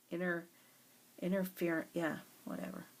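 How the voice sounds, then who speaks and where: A woman with an American accent and a fairly low pitch. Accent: southern US, comes out on some words. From US South. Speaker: craft tutorial creator. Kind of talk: tutorial. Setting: at home. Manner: casual, thinking aloud.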